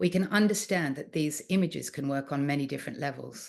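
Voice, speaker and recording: A fairly quick pace with an Australian accent over a quiet background. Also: woman. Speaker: art historian and author. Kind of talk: lecture. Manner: hesitant with frequent fillers.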